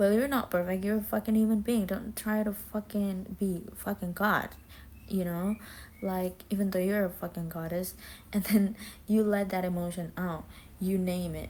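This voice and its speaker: Somewhat breathy, a woman at a medium pitch speaks in a monotone, flat intonation at a moderate pace. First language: not English. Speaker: vlogger. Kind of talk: self-talk monologue. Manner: casual, halting.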